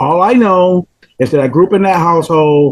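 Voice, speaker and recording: A man with a southern Georgia accent at a moderate pace, high in pitch with ordinary pitch variation. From US South, rural Georgia. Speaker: chemical dependency counselor. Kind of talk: casual interview chat.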